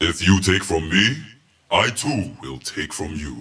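A man does a put-on character voice, booming and very deep in pitch. He speaks at a fairly slow pace. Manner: menacing, wrathful.

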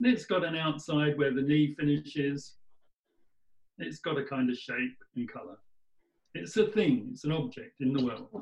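With very wide pitch swings and long, frequent pauses, a man talks at a moderate pace in a fairly high, somewhat breathy voice. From England, near Oxford. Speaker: participant. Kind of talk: webinar discussion. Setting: video call.

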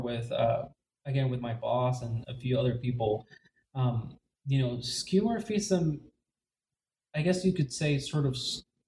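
Somewhat breathy with a dark, mellow tone, a man talks at a fairly high pitch and moderate pace with lively intonation. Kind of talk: casual chat. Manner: halting.

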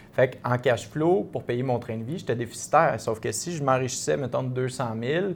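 Speaking at medium pitch, a man uses an unremarkable speaking voice with ordinary pitch variation. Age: 30s. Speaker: real estate investor. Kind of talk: casual interview.

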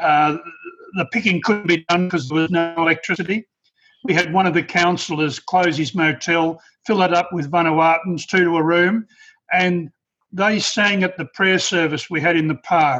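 A bright, sharp tone with an Australian accent, moderate pace and fairly even intonation over a quiet background. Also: man, high pitch for a man. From rural Australia. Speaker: participant. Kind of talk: casual discussion.

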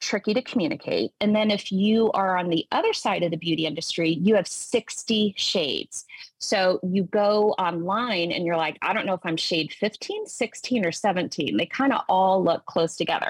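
Speaking with an American accent, a woman at medium pitch talks at a fairly slow pace with ordinary pitch variation, in a dry, close sound with no echo. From US South, Tennessee. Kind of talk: interview.

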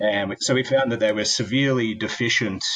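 Bright and sharp in tone, a man with an Australian accent keeps his intonation fairly even. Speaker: tech company founder. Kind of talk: interview.

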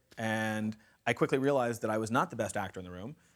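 Speaking in an American accent, this man moves at a very fast pace. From US Midwest, rural Kansas. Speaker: film writer and producer. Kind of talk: university talk interview. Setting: lecture hall with audience.

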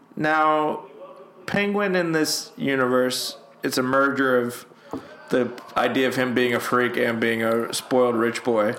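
A man talks at a fairly slow pace and medium pitch, with ordinary pitch variation and very even loudness. Noticeable background noise and audible room echo fill the recording. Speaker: podcast host, movie commentary. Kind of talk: casual chat, film commentary. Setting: at home.

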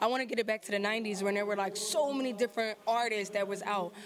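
Noticeable background noise behind a woman with a fairly high voice. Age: 20s. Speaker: rapper. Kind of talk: casual interview. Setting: showcase venue.

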